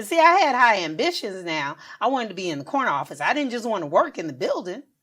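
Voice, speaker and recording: Talking at a very fast pace with an American accent, a woman uses fairly high pitch, very wide pitch swings and vocal fry. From US South, Augusta, Georgia. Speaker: podcast co-host. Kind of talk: casual chat.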